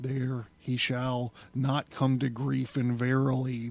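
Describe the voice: What the recording holds is plain reading aloud.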